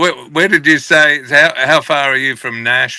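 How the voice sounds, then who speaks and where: In a very clean recording with a silent background, a man with an Australian accent speaks at a moderate pace in a bright, sharp tone with lively intonation. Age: 60s. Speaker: country musician. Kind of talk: interview.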